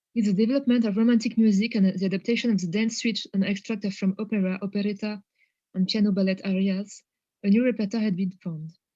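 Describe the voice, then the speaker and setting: A woman with a strong French accent talks very fast at medium pitch, her dark, mellow tone somewhat breathy and her intonation a flat monotone. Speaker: academic researcher presenting a paper. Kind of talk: conference presentation; reading a prepared text aloud. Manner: hesitant, many fillers.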